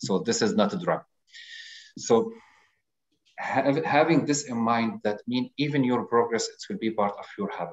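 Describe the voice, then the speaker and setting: A man with an Arabic accent speaks at medium pitch and a moderate pace, with long, frequent pauses. His pitch swings very widely and his loudness rises and falls sharply. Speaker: audience participant. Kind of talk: casual chat. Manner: halting.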